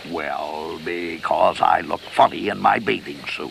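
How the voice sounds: A man performs a cartoonish character voice at a fairly slow pace. Clear background noise runs underneath.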